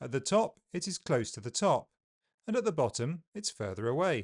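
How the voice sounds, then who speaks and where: A man with a southern British accent speaks at a fairly slow pace with very wide pitch swings, his sound dry and close with no echo over a quiet background. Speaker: English pronunciation teacher. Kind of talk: tutorial. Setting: video with live feed.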